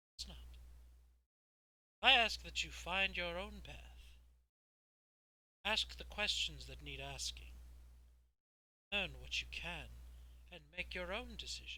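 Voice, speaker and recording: Putting on a character voice, a man speaks very deep and low at a fairly slow pace, leaving long, frequent pauses. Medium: actual play. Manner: measured, persuasive.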